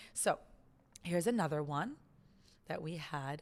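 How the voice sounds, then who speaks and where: A woman in a Californian accent, with very wide pitch swings. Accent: American, California. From US West Coast, Los Angeles. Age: 30s. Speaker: podcast host. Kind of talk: casual chat.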